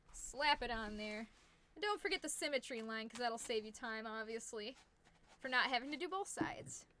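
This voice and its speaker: Loud and high-pitched, a woman talks at a moderate pace with a bright, sharp tone and lively intonation. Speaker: fursuit maker streaming crafting. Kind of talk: live-stream crafting tutorial. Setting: live stream home workshop. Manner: casual, chatty.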